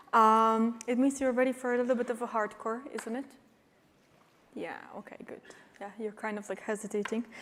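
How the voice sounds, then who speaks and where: Speech with a Polish accent at a moderate pace, big swings in loudness, and long, frequent pauses. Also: woman, fairly high pitch for a woman. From Poland. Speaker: cybersecurity expert and company CEO. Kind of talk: conference talk. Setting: stage with audience. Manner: animated.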